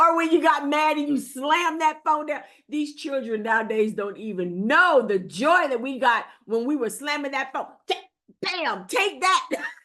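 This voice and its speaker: An animated, raised and projected voice in an American accent, with very wide pitch swings. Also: woman, high pitch for a woman, moderate pace. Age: 60s. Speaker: AI educator. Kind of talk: tutorial. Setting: video recording with screen share.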